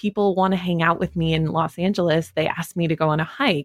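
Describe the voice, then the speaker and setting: Speaking in a normal speaking voice with an American accent, a woman keeps a fairly low pitch, fairly even intonation and a moderate pace, with a dry, close sound and no echo. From Wyoming, US. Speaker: podcast company founder. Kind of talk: interview conversation.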